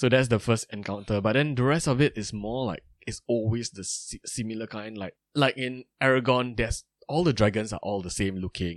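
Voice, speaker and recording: With a normal speaking voice at medium pitch, a man speaks at a moderate pace with ordinary pitch variation and big swings in loudness, in a dry, close sound with no echo over a quiet background. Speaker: podcast host. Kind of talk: casual chat.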